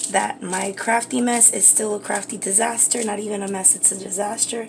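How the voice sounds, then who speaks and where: Whispering from a woman at a moderate pace, with noticeable background noise behind. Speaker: beauty and craft livestreamer. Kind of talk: live cooking stream.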